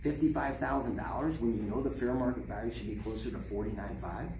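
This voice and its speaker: The speech moves at a very fast pace. Background noise is noticeable throughout. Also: man. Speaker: car salesman. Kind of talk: sales role-play training. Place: shop. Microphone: camera far.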